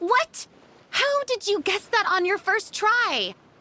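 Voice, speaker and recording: Squeaky and pitched extremely high, a put-on character voice moves along at a fairly slow pace. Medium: video game. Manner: chatty, upbeat, self-amused.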